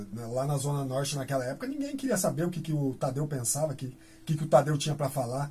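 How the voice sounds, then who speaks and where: A man talks at a very fast pace with a fairly high pitch. His voice is somewhat breathy, with fairly even intonation. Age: 40s. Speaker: graffiti artist. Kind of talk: casual interview. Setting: radio studio.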